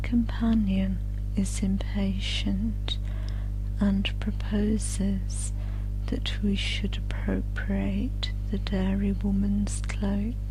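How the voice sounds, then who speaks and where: Soft-spoken and very slow, the voice comes over music in the background. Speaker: audiobook narrator. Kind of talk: sleep story.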